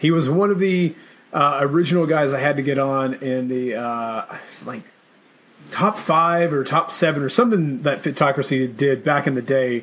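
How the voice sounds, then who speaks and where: At a moderate pace, a man with an unremarkable speaking voice and a fairly high pitch talks with ordinary pitch variation. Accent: American. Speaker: podcast host. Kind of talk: casual interview chat.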